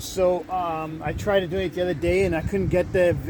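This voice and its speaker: Intonation stays fairly even as the speaker goes along at a fairly quick clip. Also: man. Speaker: van-dwelling vlogger. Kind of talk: casual vlog monologue. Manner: halting, many fillers.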